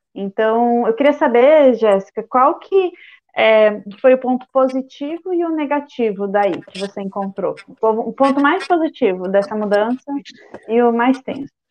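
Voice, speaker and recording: At a fairly slow pace, a woman talks in a high pitch with lively intonation. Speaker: podcast host. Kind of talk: interview. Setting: video call.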